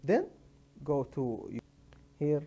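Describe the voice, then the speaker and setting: This man talks at a very slow pace. His pitch sits fairly high, and his tone is dark and mellow. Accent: non-native. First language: not English. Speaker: tech tutorial maker. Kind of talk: tutorial. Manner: halting, many hesitations.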